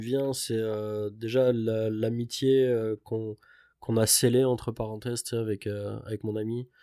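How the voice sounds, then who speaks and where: In a very clean recording with a silent background, a man with a dark, mellow tone speaks at a medium pitch in a flat monotone, very slowly and with hardly any pauses. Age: 30s. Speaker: traveller, construction worker. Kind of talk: casual chat.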